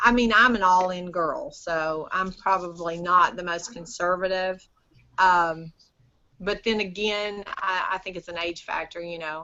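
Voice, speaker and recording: With a plain, everyday voice, a woman speaks at medium pitch and a fairly slow pace, her loudness swinging widely. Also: ordinary pitch variation. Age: 50s. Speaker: business owner selling lamps to retailers. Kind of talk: casual interview chat. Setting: video call.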